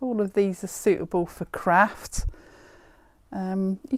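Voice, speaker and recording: A woman speaks at a medium pitch and a fairly slow pace with lively intonation, in a very clean recording with a silent background and a dry, close sound with no echo. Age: 60s. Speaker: haberdashery shop owner. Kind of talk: product showcase video. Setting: in a shop. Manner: casual, chatty.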